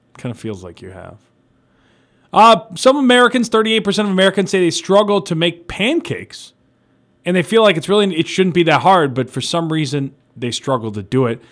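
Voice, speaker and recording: On a very clean recording with a silent background, a man speaks at a fairly quick pace in an animated tone, his high pitch showing very wide swings and his loudness big swings. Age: 30s. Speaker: radio show host. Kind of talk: casual chat.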